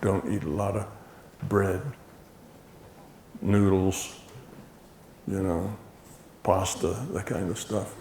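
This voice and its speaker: A man speaks at a fairly slow pace with a fairly low pitch. Audible room echo surrounds his voice. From United States. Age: 70s. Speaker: lecturer. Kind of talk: lecture. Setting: stage with audience. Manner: casual, halting.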